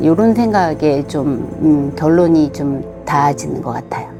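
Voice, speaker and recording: Music plays in the background as a woman speaks at a fairly slow pace. Her pitch is very deep and low. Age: 60s. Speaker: community member. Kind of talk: interview answer.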